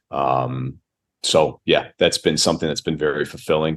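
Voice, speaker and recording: A man with a Chicago accent talks at a fairly quick pace. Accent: American, Chicago. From US Midwest, Chicago. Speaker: basketball coach. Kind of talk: podcast interview.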